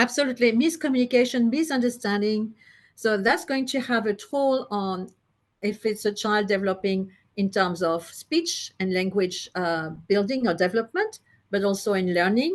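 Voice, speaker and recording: A woman speaks with a French accent in a fairly high pitch, her intonation lively against a quiet background. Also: moderate pace. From France. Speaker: psychologist and listening therapy practitioner. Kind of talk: interview. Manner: halting, with many fillers.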